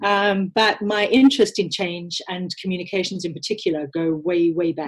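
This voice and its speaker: A woman with a South African accent speaks at a moderate pace and a medium pitch. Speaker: communications leader, former diplomat. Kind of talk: interview. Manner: hesitant, many filler words.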